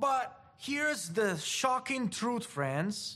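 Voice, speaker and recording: Speaking very slowly with an Italian accent, a man makes very wide pitch swings, and audible room echo surrounds his voice. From Italy. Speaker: preacher. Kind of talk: sermon.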